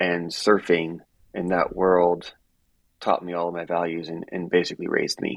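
In an American accent, a man talks with a very deep, low pitch and flat, monotone intonation. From Miami, Florida. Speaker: running apparel sales executive. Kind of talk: casual interview chat.

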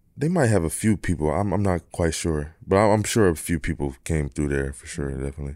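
With a Philadelphia accent, the speaker goes at a fairly quick pace with hardly any pauses and ordinary pitch variation on a very clean recording with a silent background. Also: man, very deep, low pitch for a man. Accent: Philadelphia American. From US, Philadelphia. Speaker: professional basketball player. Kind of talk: casual interview.

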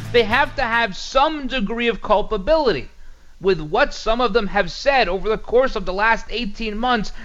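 Over music in the background, the speech moves at a moderate pace with ordinary pitch variation. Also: man, extremely high pitch for a man. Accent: American. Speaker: radio host. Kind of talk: conservative talk radio monologue; infomercial-style sponsor read, salesy pitch. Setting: studio. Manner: opinionated, punchy; upbeat, persuasive, brisk.

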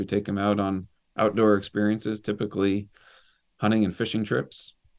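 A man with a normal speaking voice talks at a moderate pace and a fairly low pitch. His intonation is fairly even, and the recording is very clean with a silent background. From US Northeast (northern Maine). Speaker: military veteran and helicopter pilot. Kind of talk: casual interview chat.

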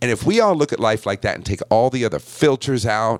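Very wide pitch swings mark the speech of a man in an American accent. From Buffalo, New York. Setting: video call, home studio.

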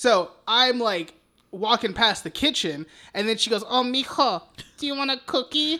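On a very clean recording with a silent background, a man speaks in a raised, projected voice with an extremely high pitch, an animated tone and lively intonation at a moderate pace. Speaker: podcast co-host. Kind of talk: casual chat. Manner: animated, profane and laughing.

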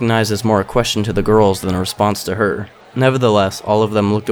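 Intonation stays fairly even. It is a natural reading voice.

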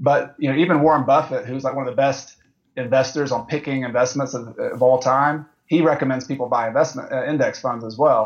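A man with an unremarkable speaking voice, medium pitch, fairly even intonation and fairly quick pace. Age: 30s. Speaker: real estate investor. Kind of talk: interview.

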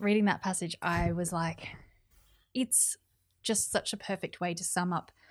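A woman with an Australian accent speaks at a moderate pace and fairly low pitch on a very clean recording with a silent background. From New South Wales, Australia. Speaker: podcast host. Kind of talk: casual interview.

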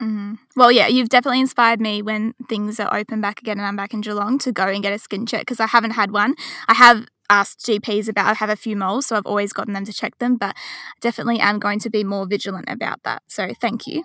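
Very fast speech from a woman with a fairly high pitch, a bright, sharp tone and fairly even intonation, in a dry, close sound with no echo. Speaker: podcast host. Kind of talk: interview.

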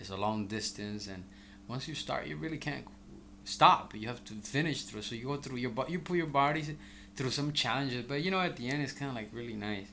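The man's voice is bright and sharp, medium in pitch, with lively intonation and a fairly quick pace. Room echo is audible. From El Salvador. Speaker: real estate broker. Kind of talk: casual interview.

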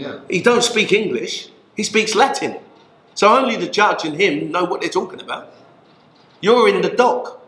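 Speaking with a London accent, a man keeps a moderate pace. He leaves long, frequent pauses. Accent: London English, Multicultural London. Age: 50s. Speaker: former prisoner, community worker. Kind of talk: interview.

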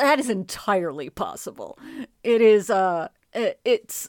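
This woman has a normal speaking voice at medium pitch with lively intonation. The recording is very clean with a silent background, dry and close with no echo. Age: 40s. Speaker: author and narrator. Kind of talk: casual chat.

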